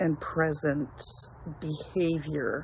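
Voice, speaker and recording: This woman's pitch is very deep and low. She speaks at a very slow pace. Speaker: tarot reader. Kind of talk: tarot reading monologue.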